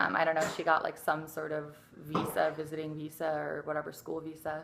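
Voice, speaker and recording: A woman with an American accent talks at a fairly quick pace in a very deep, low pitch and a flat monotone, with noticeable background noise behind her. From Detroit, Michigan, later Tucson. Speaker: ASMR YouTuber. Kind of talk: casual chat.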